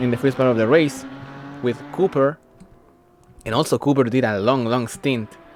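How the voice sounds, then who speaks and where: A man at medium pitch speaks at a moderate pace with ordinary pitch variation, over noticeable background noise. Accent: non-native. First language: not English. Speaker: race commentator. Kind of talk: live commentary. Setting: livestream. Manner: halting, many fillers.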